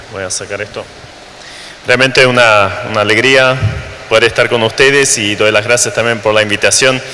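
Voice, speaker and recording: Over noticeable background noise and audible room echo, a man speaks at a medium pitch and a moderate pace. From Germany, raised in Latin America. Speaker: missionary preacher. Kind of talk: sermon. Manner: hesitant, frequent fillers and repetitions.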